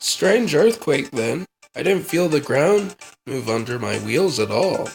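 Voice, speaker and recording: A man's put-on character voice, raspy and fairly high, at a fairly slow pace with very wide pitch swings. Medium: audio drama.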